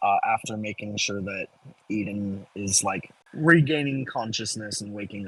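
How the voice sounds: Reading in a natural voice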